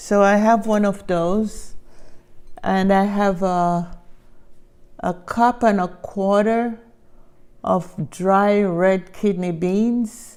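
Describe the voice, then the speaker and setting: With a Jamaican accent, a woman speaks at a medium pitch and a very slow pace. Her speech has long, frequent pauses. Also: fairly even intonation. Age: old. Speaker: home cook. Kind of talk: cooking demonstration.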